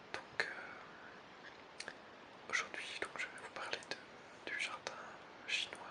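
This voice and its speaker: A man whispering at a very slow pace, with long, frequent pauses over noticeable background noise. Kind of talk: ASMR whispered talk. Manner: whispered.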